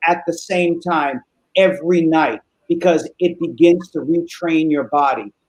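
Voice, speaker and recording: This man's voice sits high for a man, and the sound is dry and close with no echo. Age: 60s. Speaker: psychologist. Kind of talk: interview, giving expert advice. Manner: casual, with frequent fillers.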